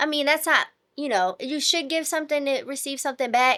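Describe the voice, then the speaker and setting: A woman's high-pitched, raised and projected voice, bright and sharp in tone, at a fairly quick pace with lively intonation, on a very clean recording with a silent background. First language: not English. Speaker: podcast co-host, nurse. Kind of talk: casual chat.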